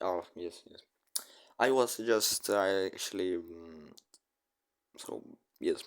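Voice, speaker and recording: A man speaks at a very slow pace with a non-native accent, his pitch very deep and low. Long, frequent pauses break up his speech, and his loudness swings widely. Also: ordinary pitch variation. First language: not English. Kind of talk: casual chat, video reaction. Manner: halting.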